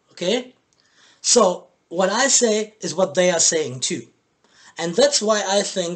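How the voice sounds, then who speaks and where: A man with a German accent talks fairly slowly in a high pitch. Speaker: boxing commentator, YouTuber. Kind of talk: video commentary. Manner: halting.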